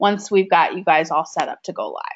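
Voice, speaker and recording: Moderately paced, a woman with a Minnesotan accent speaks at a medium pitch with ordinary pitch variation. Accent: Minnesota. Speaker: software trainer. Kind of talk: webinar tutorial.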